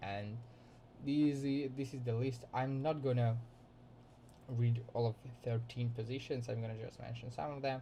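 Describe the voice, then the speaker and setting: Audible room echo and background music surround a man's voice. He holds a medium pitch in a flat monotone. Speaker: student. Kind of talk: class presentation. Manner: halting.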